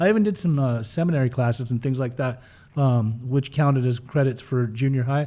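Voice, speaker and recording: Here a man speaks with a Western US accent at a fairly quick pace. His voice has a medium pitch and a dark, mellow tone. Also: ordinary pitch variation, very clean recording, silent background. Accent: American (Western US). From Utah, US (from age 5), born in Germany. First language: German. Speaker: person in addiction recovery, recovery mentor. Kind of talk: interview, personal life story. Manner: casual, uses many fillers.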